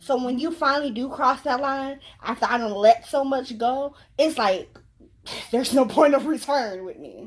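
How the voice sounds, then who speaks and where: Speaking at a moderate pace, a high-pitched woman shows ordinary pitch variation and big swings in loudness. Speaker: YouTuber. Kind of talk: casual chat.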